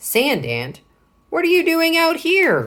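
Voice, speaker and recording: A put-on character voice, squeaky and pitched extremely high. It moves at a fairly slow pace. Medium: read story. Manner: curt, stern.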